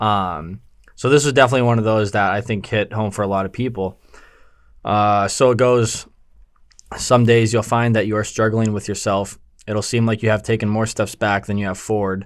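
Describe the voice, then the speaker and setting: A man mumbles at a fairly low pitch. His intonation stays fairly even. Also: moderate pace, very clean recording, silent background. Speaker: podcast co-host, clothing store owner. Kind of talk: casual chat. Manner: mumbling, slight stutter.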